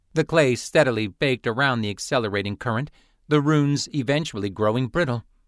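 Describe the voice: Simple, plain reading aloud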